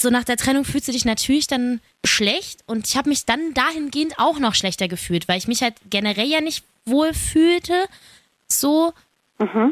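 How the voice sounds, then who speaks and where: Lively intonation at a moderate pace. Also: woman, high pitch for a woman. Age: 20s. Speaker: podcast host. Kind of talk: casual chat.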